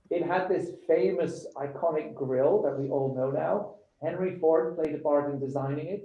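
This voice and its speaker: A man with a British accent and a fairly high pitch speaks at a moderate pace with ordinary pitch variation, with audible room echo around him. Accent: British-tinged accent from years in the UK. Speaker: show host and designer. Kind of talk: live presentation of a design challenge brief. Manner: conversational, with frequent fillers.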